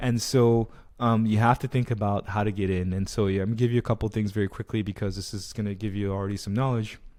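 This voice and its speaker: In a very clean recording with a silent background, a man talks at a very fast pace in a fairly low pitch. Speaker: career coach. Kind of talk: keynote training talk. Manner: animated.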